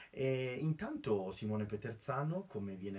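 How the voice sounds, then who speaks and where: A man talks at a fairly slow pace in a normal speaking voice. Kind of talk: lecture. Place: home room. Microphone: webcam.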